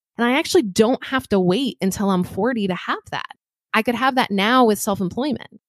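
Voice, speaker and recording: On a very clean recording with a silent background, a woman with a normal speaking voice talks at a fairly quick pace in a fairly high pitch with ordinary pitch variation, the sound dry and close with no echo. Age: 30s. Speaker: personal finance speaker and event organizer. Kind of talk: interview.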